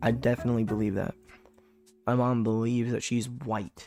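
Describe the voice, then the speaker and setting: The speech comes at a very fast pace. Music plays in the background. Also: man. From US, moved between several states. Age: 20s. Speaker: streamer. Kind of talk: casual chat. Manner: casual, filler-heavy.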